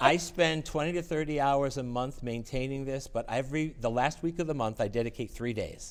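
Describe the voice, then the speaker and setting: On a very clean recording with a silent background, a man talks at a fairly quick pace with hardly any pauses, using a plain, everyday voice that is fairly high in pitch with ordinary pitch variation. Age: 60s. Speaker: music network organizer and piano technician. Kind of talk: interview.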